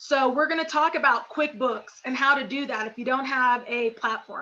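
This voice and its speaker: The speaker has an American accent and a raised, projected voice. The pace is moderate. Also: woman. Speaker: business coach. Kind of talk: webinar presentation. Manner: energetic.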